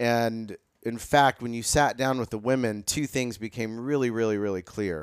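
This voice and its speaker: A plain, everyday voice with an American accent, moderate pace and fairly even intonation, dry and close with no echo, on a very clean recording with a silent background. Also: man, medium pitch for a man. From US Midwest (Carmel, Indiana). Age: 50s. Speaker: nonprofit and fashion brand founder. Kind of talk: casual chat.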